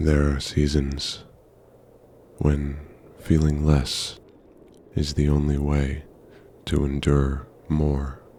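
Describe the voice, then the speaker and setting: A man with a very deep, low voice speaks at a very slow pace in a flat monotone, his loudness very even, with long, frequent pauses and noticeable background noise. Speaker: poet and narrator. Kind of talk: poetry reading. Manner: slow, atmospheric.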